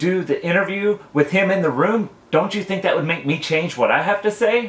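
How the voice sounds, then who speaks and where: A loud man with a high pitch, lively intonation and a moderate pace. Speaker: vlogger. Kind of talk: rant vlog.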